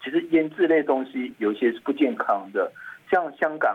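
At a moderate pace and with ordinary pitch variation, a man talks in an unremarkable speaking voice. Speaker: physician, toxicology expert. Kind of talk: health interview.

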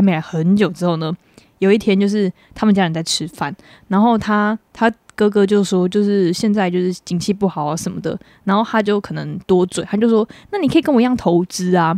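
A woman with a Taiwanese accent talks fairly quickly at a medium pitch, her tone dark and mellow. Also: dry, close sound with no echo. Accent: Taiwanese Mandarin. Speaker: podcast co-host. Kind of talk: casual chat.

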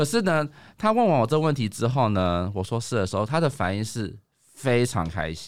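At a moderate pace, the voice moves through very wide pitch swings on a very clean recording with a silent background. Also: man, medium pitch for a man. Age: 30s. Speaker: office worker. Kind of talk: casual chat.

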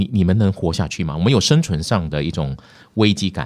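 A man's very deep, low voice with ordinary pitch variation at a fairly quick pace. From Malaysia. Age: 50s. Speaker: news anchor. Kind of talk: casual interview. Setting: studio.

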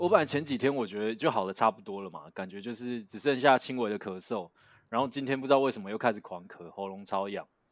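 Talking at a very fast pace with ordinary pitch variation, a man's voice swings widely in loudness. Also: medium pitch for a man. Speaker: podcast co-host. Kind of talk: casual chat. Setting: online remote recording.

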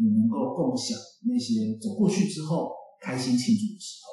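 A man with a Taiwanese accent at a high pitch, very wide pitch swings, and music in the background. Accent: Taiwanese Mandarin. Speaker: pastor. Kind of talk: interview conversation.

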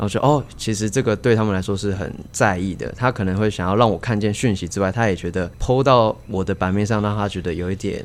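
Barely pausing, a man with a fairly low pitch talks at a very fast pace with ordinary pitch variation. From Taiwan, Kaohsiung. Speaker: cheer squad leader. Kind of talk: casual chat. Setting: inside a baseball stadium.

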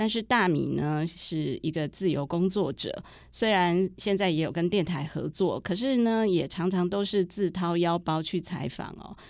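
In an ordinary speaking voice, a woman with a fairly low pitch and ordinary pitch variation talks at a fairly slow pace with hardly any pauses, on a very clean recording with a silent background. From rural Taiwan. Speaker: podcast host, journalist. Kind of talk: interview.

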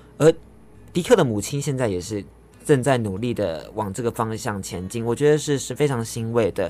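A man with lively intonation, music playing in the background. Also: medium pitch for a man, fairly quick pace. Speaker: radio host. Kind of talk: radio show hosting. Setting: radio studio.

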